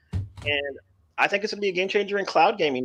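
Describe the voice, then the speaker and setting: A man speaks with a Texan accent and ordinary pitch variation. The background is quiet. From Texas. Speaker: podcast guest, cloud gamer. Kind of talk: casual chat. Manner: halting, repetitive.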